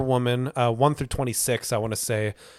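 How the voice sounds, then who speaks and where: A man speaks at a fairly quick pace. His voice sits at a medium pitch. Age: 30s. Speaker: comic book podcast host. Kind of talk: casual chat. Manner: animated.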